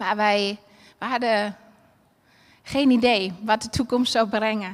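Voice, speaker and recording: A woman's voice sits fairly high in pitch with monotone, flat intonation. She speaks at a very slow pace. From Germany, Berlin. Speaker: preacher. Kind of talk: sermon. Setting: church with livestream.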